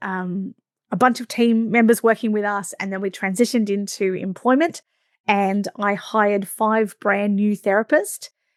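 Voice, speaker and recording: With an Australian accent, a woman speaks at medium pitch with fairly even intonation, in a dry, close sound with no echo and a very clean recording over a silent background. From Australia, Victoria coast. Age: 40s. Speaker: podcast host, massage business coach. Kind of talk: podcast monologue. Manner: fast.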